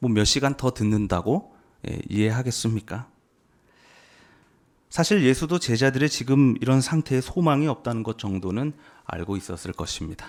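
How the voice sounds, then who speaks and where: A plain, everyday voice with lively intonation keeps a moderate pace in a very clean recording over a silent background. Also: man. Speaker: preacher. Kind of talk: sermon.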